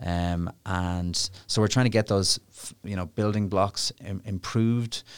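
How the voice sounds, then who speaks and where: With an Irish accent, a man speaks in a fairly low voice and fairly even intonation over a very clean recording with a silent background. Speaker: international lawyer. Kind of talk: interview. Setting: studio. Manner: fast.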